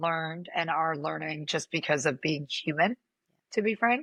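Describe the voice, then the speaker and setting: A woman's bright, sharp voice with lively intonation, dry and close with no echo, over a quiet background. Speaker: business leader and co-founder. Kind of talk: interview conversation. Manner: slow, deliberate.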